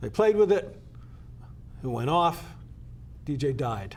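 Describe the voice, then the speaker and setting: Speaking fairly slowly with an American accent, a man uses a fairly high, somewhat breathy voice. His intonation is lively. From Connecticut (Danbury). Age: 70s. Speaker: state legislator. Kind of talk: interview. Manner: halting, many fillers.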